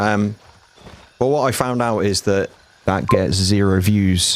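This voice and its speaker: A man with a British accent, fairly low in pitch, fairly even in intonation, with noticeable background noise. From UK. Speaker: gaming streamer. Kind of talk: live gameplay stream commentary. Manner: casual, chatty.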